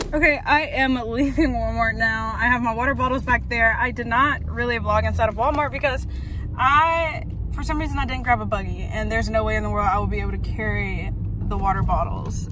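At a fairly quick pace, the speech is dry with no echo, though background noise is noticeable. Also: woman. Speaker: vlogger. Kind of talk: casual vlog chat. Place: car. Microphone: phone near.

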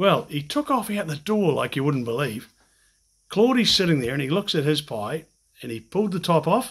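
A man's pitch swings very widely as he talks at a moderate pace against a quiet background. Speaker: interviewer. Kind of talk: conversational interview storytelling. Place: home room.

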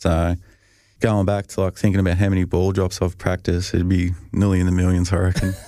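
A man with an Australian accent talks at a fairly quick pace with a very deep, low pitch and monotone, flat intonation. The recording is very clean with a silent background. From Australia, Albury-Wodonga region (Victoria). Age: 30s. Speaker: professional football punter. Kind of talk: casual chat. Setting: studio.

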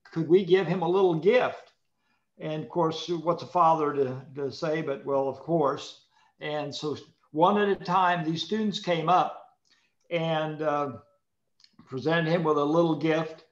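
A man with a fairly high pitch speaks at a fairly slow pace with fairly even intonation and long, frequent pauses. The background is quiet, though audible room echo is present. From US Midwest. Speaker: former politician. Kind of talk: panel discussion. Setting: forum with live audience. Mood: warm, friendly. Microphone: video call.

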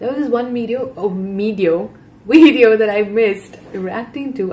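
With an animated tone and a fairly high pitch, a woman speaks at a moderate pace. Her pitch variation is ordinary. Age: 20s. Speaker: YouTube reaction creator. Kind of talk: casual reaction commentary. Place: home room. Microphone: webcam.

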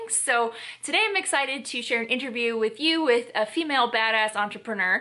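The background is quiet. A woman with a high pitch speaks at a moderate pace. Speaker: vlog host. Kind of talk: casual vlog chat. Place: home room.

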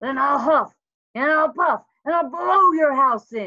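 Using a put-on character voice, a woman growls in a raised, projected voice with a high pitch at a fairly slow pace. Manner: growling.

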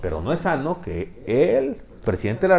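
Light background noise sits behind a man whose voice has vocal fry and very wide pitch swings. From Mexico. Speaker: political commentator. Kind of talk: casual political debate. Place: studio.

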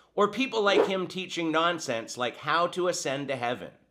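Lively intonation marks this man's high-pitched voice. Noticeable background noise is present. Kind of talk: video commentary critiquing teachings. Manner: sarcastic, dismissive. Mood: critical, emphatic. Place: home room.

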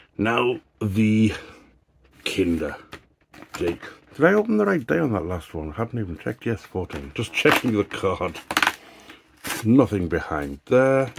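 A man's fairly slow speech with very wide pitch swings and long, frequent pauses over loud background noise. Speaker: YouTuber doing product reviews. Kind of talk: casual unboxing vlog. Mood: light-hearted, jokey. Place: home room. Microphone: phone near.

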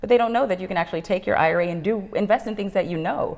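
Against a quiet background, a woman with an American accent speaks with vocal fry and ordinary pitch variation. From Los Angeles, US. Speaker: business development director at a retirement account custodian; guest. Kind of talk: interview. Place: studio.

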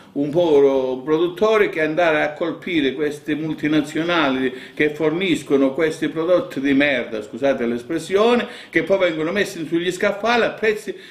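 A man talks at a moderate pace with ordinary pitch variation. There is audible echo from the room. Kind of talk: interview answer. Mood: indignant about fraud. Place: home room.

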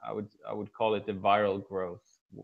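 A man with a normal speaking voice talks at a fairly quick pace and a fairly low pitch against a quiet background. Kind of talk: guest lecture talk. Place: office. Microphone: video call.

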